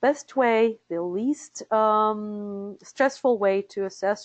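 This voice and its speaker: A woman speaks in a Russian accent, her pitch fairly high with ordinary variation. The sound is dry and close, with no echo. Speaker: interpreter certification director. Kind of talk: webinar presentation. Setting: live webinar. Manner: hesitant with fillers.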